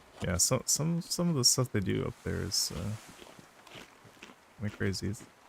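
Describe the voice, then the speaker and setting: At a moderate pace, a man with an American accent talks in a fairly low pitch with very wide pitch swings. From US. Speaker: gaming streamer. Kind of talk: live gameplay stream chat. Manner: casual with many fillers and repetitions.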